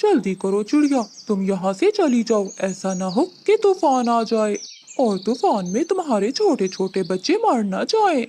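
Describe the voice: A female-sounding cartoonish character voice with a fairly high pitch. It moves at a moderate pace with hardly any pauses.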